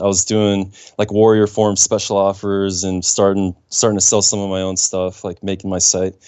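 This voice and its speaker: A man is talking. He goes along fairly quickly. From Germany (childhood), later US. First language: German. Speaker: website broker. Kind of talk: casual chat.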